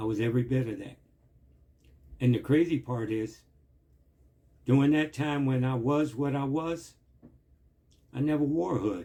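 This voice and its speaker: The voice is dark and mellow, somewhat breathy, with ordinary pitch variation. It moves at a fairly slow pace. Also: man. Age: 60s. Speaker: vlogger, former street hustler giving life advice. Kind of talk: impassioned address to camera. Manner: animated.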